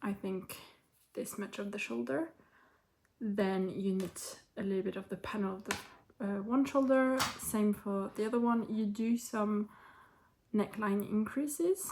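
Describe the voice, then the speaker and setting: A woman with a medium pitch and a somewhat breathy voice talks at a fairly slow pace. Her pitch varies an ordinary amount, and she leaves long, frequent pauses. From France. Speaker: knitting vlogger. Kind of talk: casual talk to camera.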